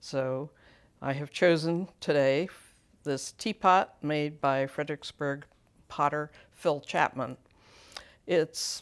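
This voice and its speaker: A woman speaks at a very slow pace in a very deep, low voice. Her intonation is fairly even, and the background is quiet. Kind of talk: tutorial. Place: workshop. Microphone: lapel.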